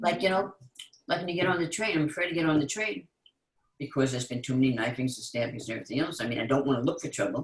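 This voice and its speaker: Here a man speaks very fast, somewhat breathy and fairly high in pitch. His intonation is lively. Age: 80s+. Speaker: call participant. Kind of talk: casual chat.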